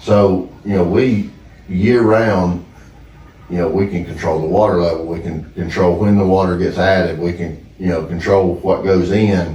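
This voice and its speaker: A man with a Southern US accent and a very deep, low pitch talks at a moderate pace with fairly even intonation, amid noticeable background noise and audible room echo. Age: 30s. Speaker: duck hunting land owner. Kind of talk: casual chat.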